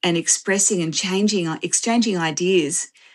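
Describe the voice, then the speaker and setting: A woman of medium pitch talks with an Australian accent. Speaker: author and systems researcher. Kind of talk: interview. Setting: live online video interview. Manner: halting, many fillers.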